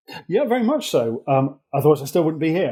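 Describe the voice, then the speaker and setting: His voice has a dark, mellow tone. He is a man with an English accent. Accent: English-sounding rather than Welsh. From England, moved from Wales at age three. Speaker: accident management executive. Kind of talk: podcast interview.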